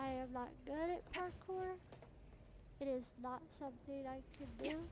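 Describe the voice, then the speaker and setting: With audible room echo and noticeable background noise, a woman talks at a fairly slow pace in a high pitch with ordinary pitch variation. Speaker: gaming streamer. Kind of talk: live gameplay commentary. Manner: soft-spoken; halting.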